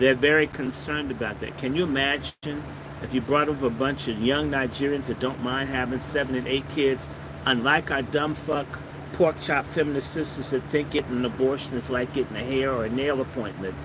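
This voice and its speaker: Music plays in the background as the voice moves at a fairly quick pace. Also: man, medium pitch for a man. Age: 60s. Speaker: political commentator. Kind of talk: monologue livestream. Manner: animated.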